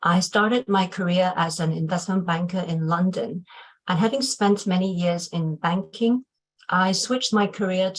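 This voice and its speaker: Somewhat breathy, a woman's medium-pitched voice. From Hong Kong and UK. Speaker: HR executive and webinar moderator. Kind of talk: panel webinar introduction. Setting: video webinar.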